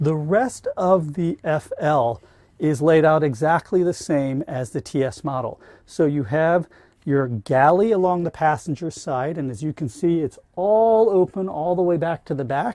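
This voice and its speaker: A dark, mellow tone at a fairly slow pace, with a dry sound, no echo and a quiet background. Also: man. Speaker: van reviewer. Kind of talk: product walkthrough. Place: car. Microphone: camera far.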